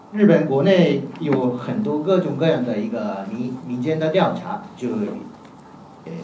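Through noticeable background noise and audible room echo, a man talks at a very slow pace with a fairly high pitch and very wide pitch swings. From Japan. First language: Japanese (speaking Chinese). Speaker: professor. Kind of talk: academic panel talk. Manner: halting.

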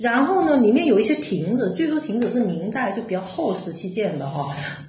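With a Cantonese accent, a woman talks in very wide pitch swings, with audible room echo and noticeable background noise. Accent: Cantonese-accented Mandarin. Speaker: artist and curator. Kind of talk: casual chat.

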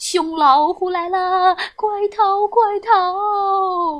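In a put-on character voice, the speaker goes very slowly with a fairly bright tone and fairly even intonation.

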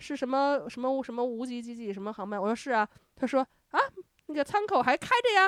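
Fast-ish and lively, a woman speaks at a high pitch with big swings in loudness, recorded with a dry, close sound and no echo. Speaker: podcast host. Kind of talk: casual chat. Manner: animated.

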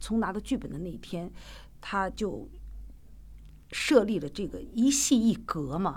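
With a strong Shaanxi accent, a woman talks at a moderate pace in a medium pitch, her intonation lively and her voice showing vocal fry. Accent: strong Shaanxi-accented Mandarin. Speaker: theatre director and actor. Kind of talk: casual interview chat.

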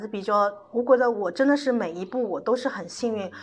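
A woman at a fairly quick pace, with ordinary pitch variation, over noticeable background noise. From Shanghai. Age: 40s. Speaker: makeup artist. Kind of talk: casual chat. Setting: studio.

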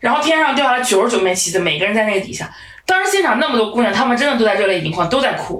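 The voice races at a very fast pace with very wide pitch swings, amid noticeable background noise and audible room echo. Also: woman, fairly high pitch for a woman. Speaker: podcast co-host. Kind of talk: casual chat. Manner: animated.

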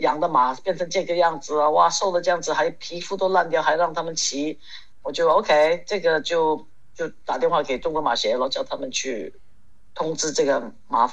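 A woman's plain, everyday voice, fairly low in pitch, at a moderate pace. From Hong Kong. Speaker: ceramic artist and horse rider. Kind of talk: casual interview chat.

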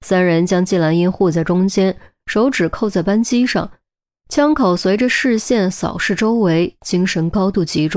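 The speaker uses a natural reading voice with ordinary pitch variation over a quiet background.

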